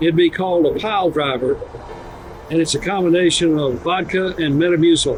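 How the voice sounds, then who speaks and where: Music plays in the background. Over it, a man speaks with a high pitch. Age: 70s. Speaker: retired senior living professional. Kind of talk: video testimonial.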